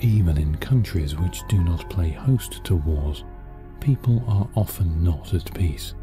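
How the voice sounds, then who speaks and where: With music in the background, a man speaks at a very deep, low pitch and a fairly slow pace. His pitch swings very widely while his loudness stays very even. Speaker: guided meditation narrator. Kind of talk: guided meditation narration. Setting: studio recording over relaxing music.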